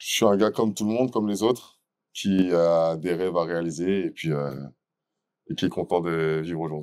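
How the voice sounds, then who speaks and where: A man's very deep, low voice at a moderate pace, with ordinary pitch variation and long, frequent pauses, in a very clean recording with a silent background. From France, Meaux (Seine-et-Marne, Paris region). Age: 30s. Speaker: dancer and event entrepreneur. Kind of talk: interview. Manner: casual, with frequent hesitations.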